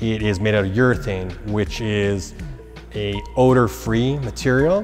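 Over faint background music, a man talks at a fairly slow pace in a fairly low pitch with fairly even intonation. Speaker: presenter. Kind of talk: product explainer talk. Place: gym. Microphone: lapel.

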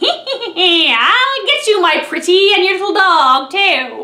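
A woman's cackling put-on character voice at an extremely high pitch and a very slow pace. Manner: cackling, menacing.

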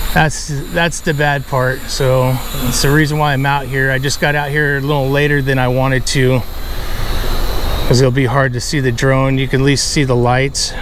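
A dry sound with no echo, plus noticeable background noise. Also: moderate pace. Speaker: drone reviewer. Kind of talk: casual commentary while flying. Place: street.

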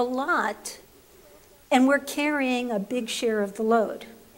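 Lively in intonation, a woman with an American accent speaks at a very slow pace. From New York, the Bronx. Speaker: labor relations professor. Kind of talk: panel presentation. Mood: light humor, engaged. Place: hall. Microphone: podium.

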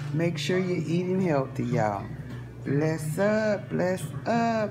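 Clear music plays in the background as a woman speaks at a very slow pace. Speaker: home cook vlogger. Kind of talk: casual vlog chat. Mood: warm, upbeat, blessing viewers. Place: kitchen. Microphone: phone near.

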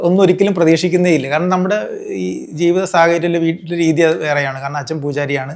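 Pitch in this voice varies in an ordinary way. The speaker is a man. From Kerala, Alappuzha district. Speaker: news photographer. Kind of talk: interview.

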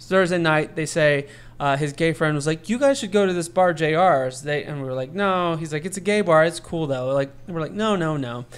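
A man's ordinary speaking voice with an American accent, fairly high pitch, ordinary pitch variation, a moderate pace and hardly any pauses, in a very clean recording with a silent background. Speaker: podcast host. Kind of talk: casual chat.

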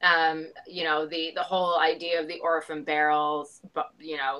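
Against a quiet background, a woman speaks with a very deep, low pitch. Her tone is bright and sharp, and her pace is moderate. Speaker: remote guest. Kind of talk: interview answer. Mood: chatty, amused. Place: home room. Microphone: video call.

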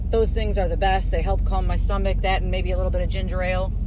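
Fairly quick speech from a woman, dry with no echo, amid noticeable background noise. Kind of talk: casual vlog chat. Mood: relaxed, friendly storytelling. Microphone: phone near.

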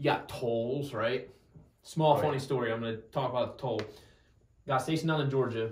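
Here a man with an American accent speaks in an unremarkable speaking voice at medium pitch, with ordinary pitch variation. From New Jersey. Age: 20s. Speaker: Marine and podcast host. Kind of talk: casual interview chat.

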